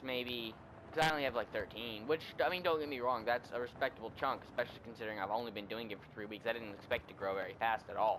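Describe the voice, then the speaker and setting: The speaker is a man with a medium pitch. His pitch varies in an ordinary way. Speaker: gaming YouTuber. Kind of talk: casual channel update while gaming. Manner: mellow, dull-sounding; sounds melodramatic and sad.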